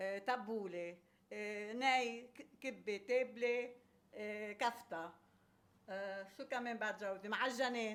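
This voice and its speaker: In a Lebanese accent, a woman speaks at a very slow pace, her fairly high pitch following fairly even intonation. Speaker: home cook, former restaurant owner. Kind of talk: casual interview. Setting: home kitchen.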